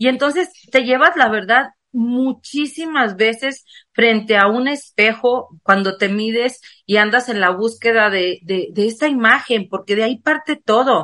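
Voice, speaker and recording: Delivered at a fairly slow pace, the speech carries a bright, sharp tone. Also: woman, fairly high pitch for a woman, ordinary pitch variation. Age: 50s. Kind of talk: casual chat.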